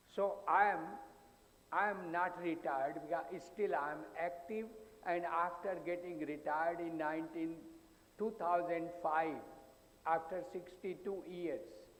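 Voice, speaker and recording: A man with a high voice speaks at a fairly slow pace, leaving long, frequent pauses, his intonation fairly even against audible room echo. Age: 80s+. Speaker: psychologist. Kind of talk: conference talk.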